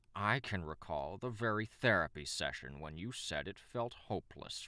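Growling in a put-on character voice, a man speaks at a moderate pace with a fairly low pitch. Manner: growly.

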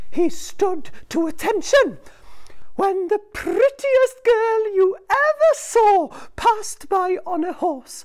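A put-on character voice at an extremely high pitch moves along at a very slow pace. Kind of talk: children's storytelling. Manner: teasing, bargaining.

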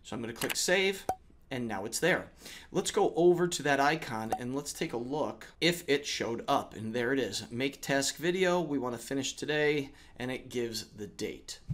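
A man's voice with lively intonation at a moderate pace. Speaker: educator making tech tutorials. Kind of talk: tutorial.

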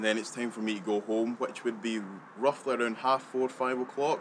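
With a west central Scottish accent, a man speaks at a medium pitch and a moderate pace. His intonation is fairly even, over light background noise. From Scotland. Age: young. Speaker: delivery driver. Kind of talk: personal account of daily routine. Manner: halting. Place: open country.

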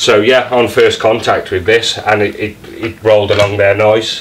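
A man talks with monotone, flat intonation. Light background noise sits behind him. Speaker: carpet fitter reviewing tools. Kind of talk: tool review commentary. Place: home room. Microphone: camera far.

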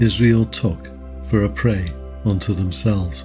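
Music plays in the background as a man speaks at a fairly slow pace. His fairly low voice has lively intonation. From Liverpool, England. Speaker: podcast Bible reader. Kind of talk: sleep scripture reading. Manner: calm, soothing.

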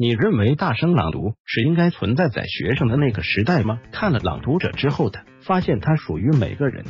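This man talks at a moderate pace, with hardly any pauses, at a medium pitch. His pitch swings very widely, and music plays in the background. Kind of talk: narrated article read.

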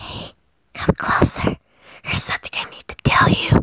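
The speaker whispers at a moderate pace. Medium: solo performance. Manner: hushed, coaxing, possessive.

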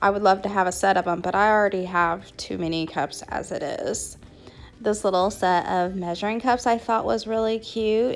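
With faint music in the background, a woman talks at a fairly slow pace and ordinary pitch variation. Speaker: shopping vlogger. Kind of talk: casual vlog chat. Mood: cheerful, light laughter. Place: shop. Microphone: phone near.

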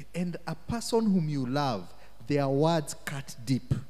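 Somewhat breathy and fairly slow, a man with a fairly high pitch speaks with lively intonation. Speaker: minister. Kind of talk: teaching / Bible study talk. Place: church. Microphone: handheld.

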